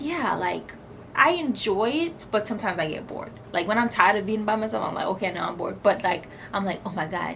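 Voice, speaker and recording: With audible room echo and noticeable background noise, a woman speaks at a very fast pace with a medium pitch and lively intonation. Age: 20s. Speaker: lifestyle vlogger. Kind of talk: casual chat.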